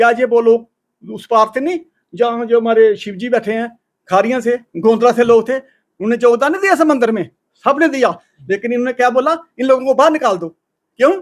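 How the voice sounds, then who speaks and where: A man with an extremely high pitch and ordinary pitch variation, at a moderate pace with long, frequent pauses. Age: 60s. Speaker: temple community member. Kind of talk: interview. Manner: animated.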